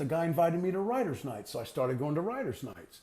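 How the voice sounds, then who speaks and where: With an American accent, a man speaks in a high-pitched voice that has a dark, mellow tone. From Texas. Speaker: harmonica player. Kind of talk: interview.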